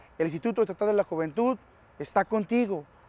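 Here a man talks at a fairly quick pace in a high voice. His pitch varies in an ordinary way, and the sound is dry with no echo. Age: 30s. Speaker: former gang member, youth outreach speaker; speaker. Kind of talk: public service announcement. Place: garden.

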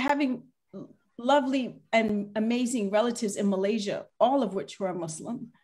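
Over a quiet background, a woman with an American accent speaks in an animated tone at a moderate pace and high pitch, with long, frequent pauses. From United States. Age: 40s. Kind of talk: panel discussion. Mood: earnest, reflective. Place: home room. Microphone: video call.

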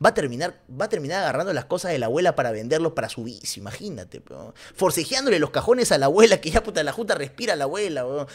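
A man talks in an animated tone at a very fast pace with hardly any pauses. His pitch swings very widely and his loudness swings widely too. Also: quiet background. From Peru. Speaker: streamer and football commentator; streamer, football commentator. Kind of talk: casual livestream commentary. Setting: livestream. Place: home room. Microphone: studio mic.

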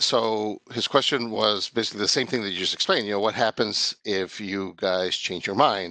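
At a moderate pace and with hardly any pauses, the speaker has a bright, sharp tone and ordinary pitch variation, recorded dry with no echo against a quiet background. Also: man, fairly low pitch for a man. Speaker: meeting participant. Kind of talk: technical discussion. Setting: video call. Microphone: video call.

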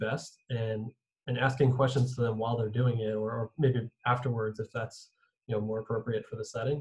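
A man talks at a fairly quick pace in a monotone, flat intonation. His voice is somewhat breathy. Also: quiet background. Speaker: physical therapist and podcast host; podcast host. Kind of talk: podcast intro and panel discussion. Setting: video call. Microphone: video call.

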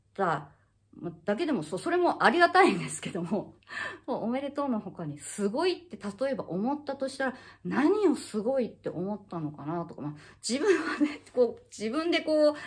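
Her pitch is high, swinging very widely, and her loudness shifts in big swings. The woman keeps a moderate pace. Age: 50s. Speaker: acupuncturist and health YouTuber; health YouTuber. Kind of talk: casual monologue to camera. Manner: halting, many fillers. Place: home room. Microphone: phone near.

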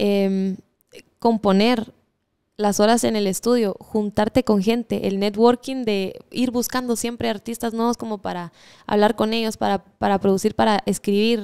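A woman's fairly high, dark, mellow voice, fairly slow and monotone, with flat intonation and a quiet background. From Guatemala. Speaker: singer-songwriter; guest. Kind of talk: interview. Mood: relaxed, friendly. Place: studio. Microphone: studio mic.

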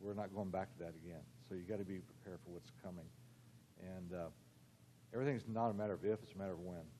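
Very deep and low in pitch with a dark, mellow tone, a man speaks at a very fast pace with ordinary pitch variation and long, frequent pauses. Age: old. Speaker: forensic dentist, keynote speaker. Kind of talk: keynote speech. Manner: halting.

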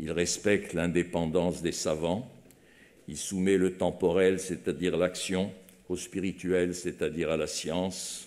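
A man with a very deep, low voice talks at a fairly slow pace in a monotone, flat delivery. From France. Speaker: foundation president. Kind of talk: formal eulogy speech. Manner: formal. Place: hall. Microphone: podium.

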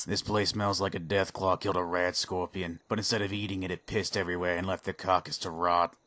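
Grumpy in tone, a man talks very fast in a very deep, low, monotone voice, the sound dry and close with no echo. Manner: grumpy, sarcastic, profane but friendly.

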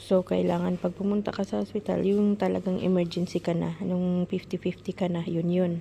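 Hardly pausing, a woman keeps up a moderate pace. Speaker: vlogger. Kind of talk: casual vlog narration. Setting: outdoors.

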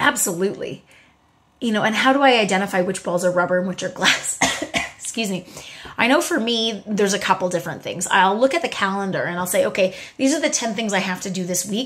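Speaking very fast with lively intonation and an animated tone, a woman holds a medium pitch. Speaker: motivational video host. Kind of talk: motivational talk. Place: home room. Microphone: phone near.

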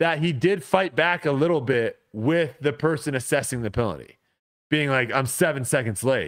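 At a moderate pace and with ordinary pitch variation, the voice comes through against a quiet background. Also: man. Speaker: podcast co-host. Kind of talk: casual podcast storytelling. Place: home room. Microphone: studio mic.

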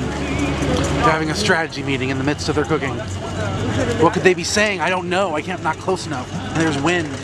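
Dry, echo-free sound under loud background noise. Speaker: amateur video commentator. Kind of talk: live event commentary. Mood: playful, wry. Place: street. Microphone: phone near.

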